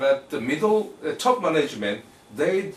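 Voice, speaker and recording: Noticeable background noise behind a male speaker's fairly slow delivery. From Japan. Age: 50s. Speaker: talk show host. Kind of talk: interview conversation. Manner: halting, with many fillers.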